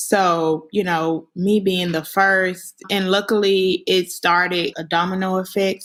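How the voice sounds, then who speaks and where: A woman with a Southern US accent talks at a fairly slow pace and medium pitch. Her intonation is monotone and flat in a very clean recording with a silent background. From US South, Memphis, Tennessee. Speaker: alumna. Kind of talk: personal testimony.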